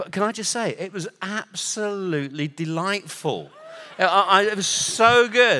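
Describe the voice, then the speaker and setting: A raised, projected voice moves at a fairly slow pace with ordinary pitch variation, set against noticeable background noise. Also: man, high pitch for a man. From Northern Ireland, raised partly in England. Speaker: international prayer movement director, visiting preacher. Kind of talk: sermon. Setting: church stage with live audience.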